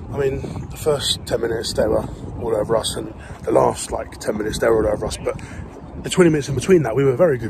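A man talks at a fairly quick pace in a dry sound with no echo, with noticeable background noise. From England. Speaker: football vlogger and fan. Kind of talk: sports vlog, with live-commentary-style reactions to the match. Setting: outdoors at a football ground. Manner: excitable, animated, shouting in real time at goals and chances; casual, chatty, swears. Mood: excited, frustrated about game. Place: open country. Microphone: phone near.

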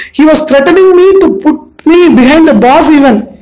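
Speaking with an Indian accent, a woman keeps a moderate pace and ordinary pitch variation. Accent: Indian English (Tamil). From Madurai, Tamil Nadu, India. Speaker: retired bank manager, career counselor. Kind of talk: interview, casual chat. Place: home room. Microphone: handheld.

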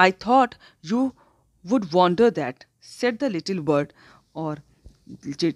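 The voice swings very widely in pitch, heard in a very clean recording with a silent background and a dry, close sound with no echo. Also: woman. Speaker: school English teacher. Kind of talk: lecture.

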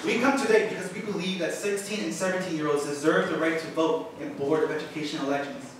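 A man at a fairly quick pace, with strong room echo and light background noise. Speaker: high school student at public comment. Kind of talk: prepared public statement. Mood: earnest, slightly nervous. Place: hall.

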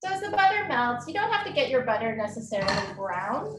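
With music in the background, this woman keeps a moderate pace. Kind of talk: tutorial. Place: kitchen. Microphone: camera far.

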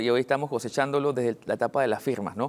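Fairly quick speech from a man, pitched in the middle of his range. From Panama (Betania, Panama City); Panama. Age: 30s. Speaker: local election candidate; election candidate. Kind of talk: TV news interview. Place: studio. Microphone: lapel.

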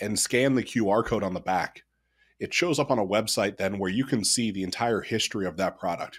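A man with an American accent talks at a fairly quick pace and a fairly low pitch. The background is quiet. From Ohio, US Midwest. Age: 30s. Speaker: ecommerce CEO. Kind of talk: podcast interview. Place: home room.

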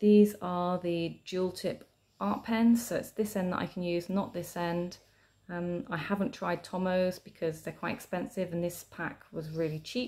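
Woman with a British accent, fairly low pitch and a dark, mellow tone, at a fairly slow pace. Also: ordinary pitch variation. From Britain. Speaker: tarot and journaling video creator. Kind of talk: casual show-and-tell tutorial. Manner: chatty, with fillers. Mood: calm, friendly.

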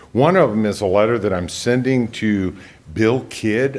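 The pace is fairly slow, with ordinary pitch variation. Noticeable background noise and audible room echo fill the recording. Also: man. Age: 60s. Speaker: investigative reporter giving public comment. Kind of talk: public comment at council meeting. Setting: county council meeting.

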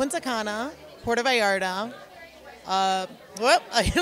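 A woman speaks in a dry setting with no echo while crowd noise carries in the background. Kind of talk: interview answer. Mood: cheerful, laughing. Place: hall. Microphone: handheld.

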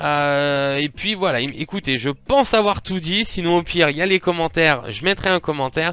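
A man talks in a bright, sharp, fairly high voice at a moderate pace. He uses ordinary pitch variation and hardly any pauses. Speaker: YouTuber opening Pokémon cards. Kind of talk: casual vlog to camera. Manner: hesitant, many fillers.

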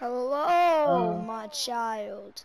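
A woman's put-on character voice, fairly high-pitched, with very wide pitch swings. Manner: eerie, unnaturally sweet.

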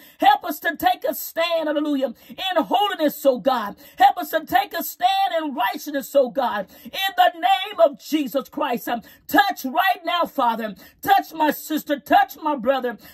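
Things move at a fairly slow pace. There is little sound behind the speech. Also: woman. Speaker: prayer leader. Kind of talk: fervent live-streamed prayer, intercessory, with repeated hallelujahs. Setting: live stream to online audience. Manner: impassioned, pleading, rhythmic repetition, rising intensity; commanding and declarative when rebuking. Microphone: phone near.

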